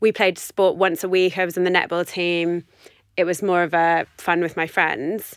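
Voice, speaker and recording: With a London accent, a woman talks at a moderate pace in a fairly low, monotone, flat voice on a very clean recording with a silent background. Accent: southern English (London). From West London, England. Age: 30s. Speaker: running blogger and dietetics student. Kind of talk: casual interview chat.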